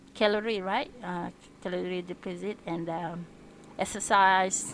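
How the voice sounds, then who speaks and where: The speaker talks in a Malaysian accent with fairly even intonation. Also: woman. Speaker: vlogger practising English. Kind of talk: casual vlog, language practice. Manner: halting, hesitant.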